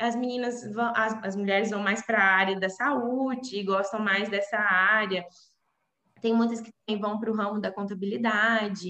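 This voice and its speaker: The tone is bright and sharp, delivered at a moderate pace with monotone, flat intonation. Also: woman, fairly high pitch for a woman. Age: 20s. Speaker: civil engineer. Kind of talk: interview. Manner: halting.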